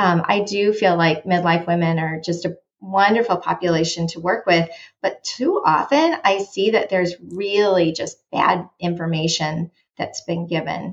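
A woman with a plain, everyday voice speaks at a moderate pace, her fairly low pitch held in fairly even intonation. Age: 50s. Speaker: dietitian. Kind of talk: interview.

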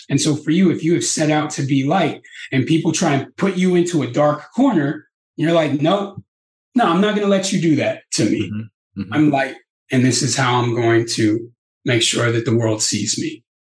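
A man talks in an animated, calm tone that is somewhat breathy. His intonation is lively. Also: fairly high pitch for a man, moderate pace. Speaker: peace activist. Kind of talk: interview, storytelling. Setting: podcast interview. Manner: animated, calm and empathetic.

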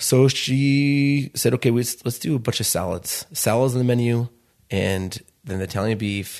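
A man with an American accent talks at a moderate pace in an ordinary speaking voice of medium pitch, with ordinary pitch variation, over a quiet background. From Chicago. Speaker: restaurant founder. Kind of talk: interview.

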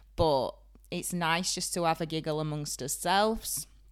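A woman with a Yorkshire accent on a very clean recording, with a silent background. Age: 30s. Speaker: beautician and salon owner. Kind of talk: casual chat. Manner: animated.

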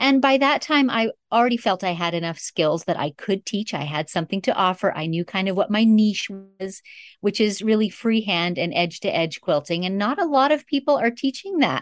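A woman speaks fairly quickly in a medium pitch, with lively intonation and a plain, everyday voice. The recording is very clean, with a silent background and a dry, close sound with no echo. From northern Canada. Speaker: long arm quilter and quilting teacher. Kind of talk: interview.

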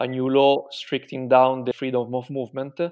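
In an Italian accent, a man talks at a fairly quick pace. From Italy. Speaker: Italian digital marketing professional living in Milan. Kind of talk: casual interview about life under coronavirus lockdown. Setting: remote call interview. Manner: hesitant, with frequent fillers.

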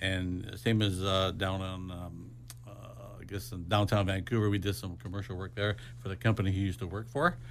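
Using lively intonation at a fairly quick pace, a man speaks with a very deep, low pitch and vocal fry. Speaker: renovation contractor. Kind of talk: radio interview. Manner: casual, frequent fillers.

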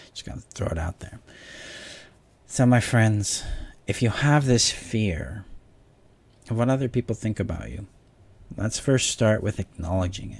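A man's fairly low voice at a moderate pace, somewhat breathy, with ordinary pitch variation, big swings in loudness, and long, frequent pauses. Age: 40s. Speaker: relationship coach. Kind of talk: solo talk to camera, coaching video. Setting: home video stream while moving house.

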